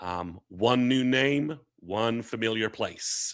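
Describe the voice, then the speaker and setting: A man puts on a character voice that sounds hoarse. His pitch sits in the medium range with ordinary variation. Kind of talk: casual recruiting-news update.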